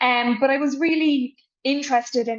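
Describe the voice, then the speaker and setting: The woman keeps her intonation fairly even and moves at a moderate pace. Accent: Irish. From Ireland. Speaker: politics professor. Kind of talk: expert interview. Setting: video interview.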